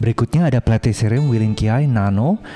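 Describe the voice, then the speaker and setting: Over music in the background, a man with a non-native accent talks fairly quickly at a fairly low pitch with ordinary pitch variation. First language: not Indonesian (speaking Indonesian). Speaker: plant video creator. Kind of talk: video tour narration. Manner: halting; animated.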